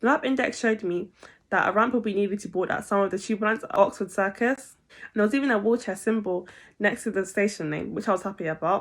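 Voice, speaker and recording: A woman talks very fast at a medium pitch with ordinary pitch variation. The recording is very clean, with a silent background. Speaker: double amputee vlogger. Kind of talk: personal vlog narration.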